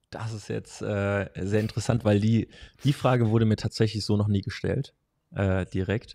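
Dark and mellow in tone, a man speaks at a fairly low pitch. His intonation is fairly even, at a moderate pace. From Hesse, Germany. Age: 20s. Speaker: strength and conditioning coach; conditioning coach. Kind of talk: casual interview. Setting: in person, same room. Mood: relaxed, friendly, smiling. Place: home room. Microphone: studio mic.

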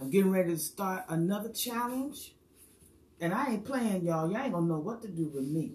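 A woman with lively intonation speaks at a fairly quick pace, with audible room echo. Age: 60s. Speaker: hair stylist and hula hoop fitness coach; hula hoop fitness coach. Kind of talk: live stream monologue. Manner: animated. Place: home room. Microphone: phone near.

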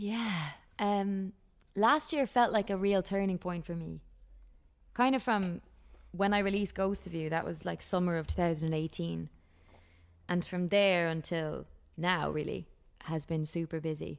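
Fairly low-pitched woman with an Irish accent, at a fairly slow pace with long, frequent pauses, over a quiet background. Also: ordinary pitch variation. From Ireland. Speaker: country singer-songwriter; guest. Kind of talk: casual interview chat. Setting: video call. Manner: laughs often, chatty.

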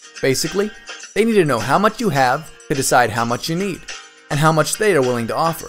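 Over music in the background, a man speaks at a fairly quick pace in a fairly high pitch, with very wide pitch swings. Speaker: voice-over artist. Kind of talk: explainer video narration.

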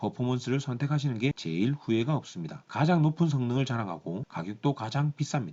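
In an ordinary speaking voice, a man talks at a fairly quick pace with a medium pitch and lively intonation. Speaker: car reviewer. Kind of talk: product review talk to camera.

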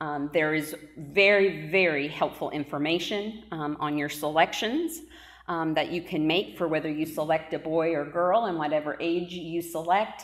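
A woman speaks with very deep, low pitch against a quiet background. Her intonation is fairly even and her pace is moderate. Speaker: pastor. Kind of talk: church announcements. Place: church. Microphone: camera far.

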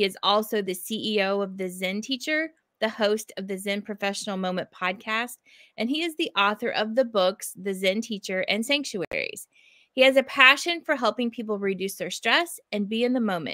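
A woman's fairly high voice with lively intonation and a bright, sharp tone, at a moderate pace, dry with no echo over a quiet background. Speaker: educator and co-host. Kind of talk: casual chat. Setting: video call. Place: home room.

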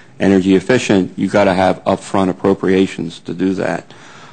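A man is talking. His voice sits very deep and low. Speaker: witness. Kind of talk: interview answer. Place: hall. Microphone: podium.

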